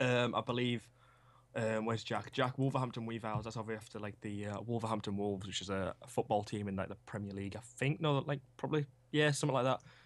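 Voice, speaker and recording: Very fast speech with a Yorkshire accent. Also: man, medium pitch for a man, ordinary pitch variation. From Yorkshire, England (Huddersfield). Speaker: esports team coach. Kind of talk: casual interview. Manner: hesitant, many fillers.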